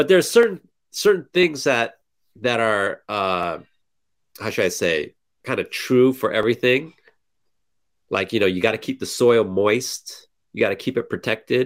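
In an American accent, a man speaks at a medium pitch and a moderate pace. His pitch swings very widely, and he leaves long, frequent pauses. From California. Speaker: small-scale farmer and blogger. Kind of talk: casual interview. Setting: video call. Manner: halting, many fillers.

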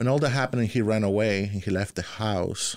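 In a Spanish accent, a man with fairly low pitch talks at a moderate pace with fairly even intonation. The recording is very clean, with a silent background. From Central America, Honduras. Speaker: refugee sharing his story. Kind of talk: interview. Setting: studio.

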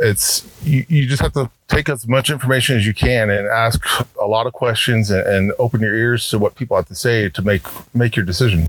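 In a dry, close sound with no echo, a somewhat breathy man talks at a fairly quick pace with ordinary pitch variation. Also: medium pitch for a man. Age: 40s. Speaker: city council candidate. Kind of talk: interview.

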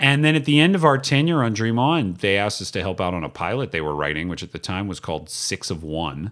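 A man's fairly low voice at a very fast pace, with very wide pitch swings, hardly any pauses, and a very clean recording with a silent background. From US South, Atlanta, Georgia. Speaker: TV comedy writer and producer. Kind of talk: casual interview chat.

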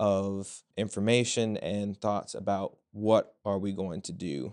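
A plain, everyday voice: a man with an American accent, fairly low in pitch, with fairly even intonation over a quiet background. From Virginia. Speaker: student. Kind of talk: casual chat.

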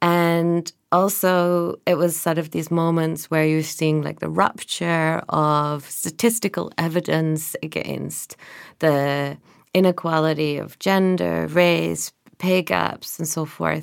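In a very clean recording with a silent background, a woman with a very deep, low pitch speaks at a very slow pace and fairly even intonation. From northern England. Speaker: artist and critic. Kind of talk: interview conversation. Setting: studio. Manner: hesitant, many fillers.

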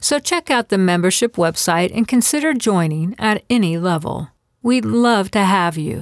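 A woman with a normal speaking voice talks at a moderate pace in a medium pitch, her intonation lively. The recording is very clean and dry, close with no echo, over a silent background. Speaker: podcast host and quilt fiction writer. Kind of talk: reading aloud a short story and interview.

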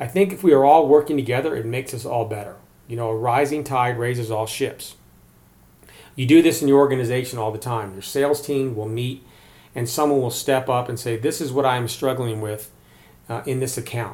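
Speaking at a fairly quick pace with an American accent, a man has a medium pitch, fairly even intonation, a somewhat breathy, dark, mellow tone, and big swings in loudness. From Maryland, US. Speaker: sales podcast host. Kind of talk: solo podcast monologue.

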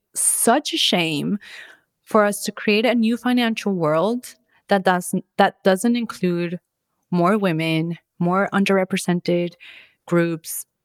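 Very slowly and with long, frequent pauses, a woman with a slight Colombian accent speaks at medium pitch with ordinary pitch variation, her sound dry and close with no echo on a very clean recording with a silent background. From Florida (Orlando), Colombian-born. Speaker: podcast host. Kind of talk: solo monologue. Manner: casual, relaxed.

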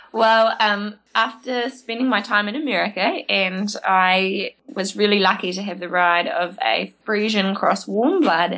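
At a fairly slow pace with hardly any pauses, a woman with a New Zealand accent talks at a medium pitch with ordinary pitch variation. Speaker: horse trainer. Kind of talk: interview.

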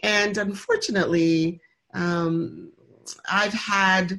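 A woman's plain, everyday voice with an American accent, fairly low in pitch and fairly even in intonation. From Michigan. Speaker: motivational speaker and author. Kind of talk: interview.

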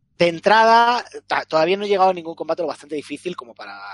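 In a Castilian accent, a man speaks at a very fast pace in a high pitch with very wide pitch swings and a dry, close sound with no echo. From Spain. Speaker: video game podcast panelist and streamer. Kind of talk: casual chat.

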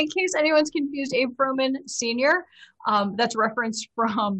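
Lively intonation marks this woman's speech in an American accent. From Chicago. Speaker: tabletop role-playing game player. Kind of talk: casual chat during a live-streamed role-playing game.

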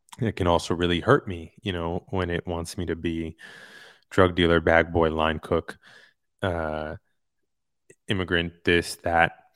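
In a New York accent, a man with a very deep, low pitch talks at a fairly slow pace with long, frequent pauses and fairly even intonation, on a very clean recording with a silent background and a dry, close sound with no echo. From Queens, New York City. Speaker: actor and author. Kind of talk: interview.

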